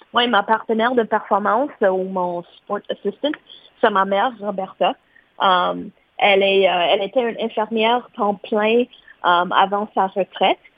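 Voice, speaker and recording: A woman in a plain, everyday voice speaks fairly slowly at medium pitch with fairly even intonation. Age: 30s. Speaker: para-athlete. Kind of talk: interview.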